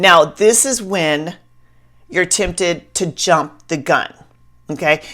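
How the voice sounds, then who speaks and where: A woman's medium-pitched voice with an American accent, animated in tone, with ordinary pitch variation, on a very clean recording against a silent background. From US South. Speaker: Bible study teacher. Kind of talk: Bible teaching talk.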